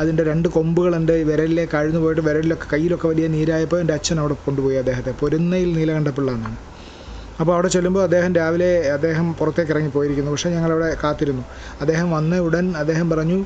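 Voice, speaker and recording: The voice stays monotone and flat in intonation over noticeable background noise. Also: man, fairly high pitch for a man. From Kerala, Kollam district village. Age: 50s. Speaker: poet and radio program executive. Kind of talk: reflective talk.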